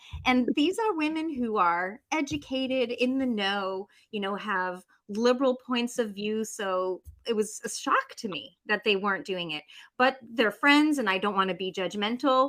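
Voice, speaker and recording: A plain, everyday voice with an American accent, speaking at a moderate pace with lively intonation. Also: woman, fairly high pitch for a woman. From United States. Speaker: author and life coach. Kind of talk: podcast interview. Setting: remote call.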